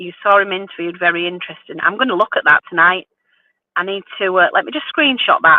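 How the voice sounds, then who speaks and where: The speaker talks at a very fast pace with a West Yorkshire accent. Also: woman, medium pitch for a woman, lively intonation. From northern England, Wakefield, West Yorkshire. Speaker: vintage reseller and live streamer. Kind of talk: casual live stream chat with viewers. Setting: in a car at night, phone live stream.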